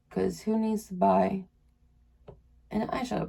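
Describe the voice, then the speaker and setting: A woman talks at a moderate speed while noticeable background noise runs underneath. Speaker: beauty vlogger. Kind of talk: makeup tutorial. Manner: casual, chatty; pitched higher than usual.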